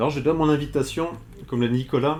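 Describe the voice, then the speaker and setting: A man's voice with a dark, mellow tone. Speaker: essayist, author. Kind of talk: lecture. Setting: bookshop, talk with audience. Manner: hesitant, many filler sounds.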